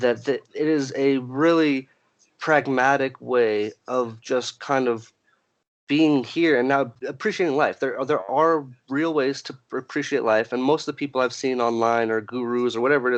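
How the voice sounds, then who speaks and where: A man's medium-pitched voice with fairly even intonation, a moderate pace and a quiet background. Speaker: podcast co-host. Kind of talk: casual chat. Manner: halting.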